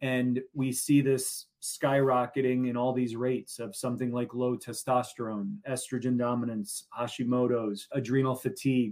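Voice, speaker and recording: A man speaks in a plain, everyday voice with a medium pitch. His pace is moderate, his intonation fairly even, and he hardly pauses. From US Midwest, Chicago. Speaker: functional medicine doctor. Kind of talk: interview.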